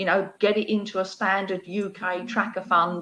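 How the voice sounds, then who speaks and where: A woman's bright, sharp voice with fairly even intonation. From East London. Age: 60s. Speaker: wealth expert. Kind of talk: interview answers. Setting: online live video discussion.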